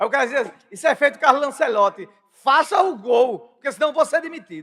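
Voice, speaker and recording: With an extremely high voice, a man talks at a fairly quick pace and with lively intonation. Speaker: podcast host. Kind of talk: casual chat. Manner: fast.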